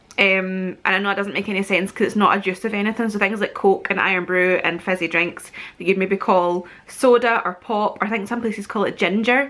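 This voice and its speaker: A woman's bright, sharp tone at a fairly quick pace, with fairly even intonation and a West Central Scottish accent. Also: medium pitch for a woman. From Scotland. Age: 30s. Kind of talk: casual talk to camera.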